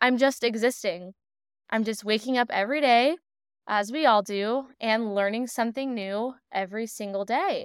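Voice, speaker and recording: A woman's fairly high voice in a calm tone, with ordinary pitch variation and a moderate pace, on a very clean recording over a silent background. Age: 20s. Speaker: podcast host and psychic medium. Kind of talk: solo podcast monologue. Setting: home living room, rain outside.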